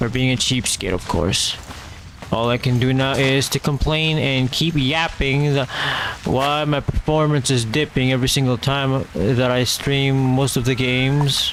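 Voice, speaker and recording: A man with a slight Filipino accent speaks at a medium pitch and a fairly slow pace. His loudness stays very even, his intonation is fairly even, and background noise is noticeable. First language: not English. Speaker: vtuber streamer. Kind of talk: casual gaming stream chat.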